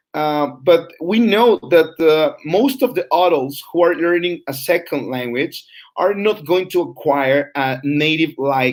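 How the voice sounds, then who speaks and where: Using lively intonation, a man speaks at a fairly slow pace. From Mexico. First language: Spanish. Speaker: English teacher trainer. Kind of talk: online lecture. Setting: live broadcast. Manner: halting, many fillers.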